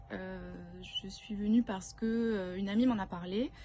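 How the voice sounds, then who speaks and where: A woman at a very slow pace, in a southern French accent, with medium pitch and fairly even intonation. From southern France. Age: 30s. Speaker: retreat participant, works in advertising. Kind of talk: testimony. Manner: hesitant, many filler sounds.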